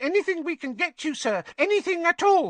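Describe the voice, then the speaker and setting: Putting on a squeaky character voice, a man talks at a fairly quick pace with an extremely high pitch. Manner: eager, servile.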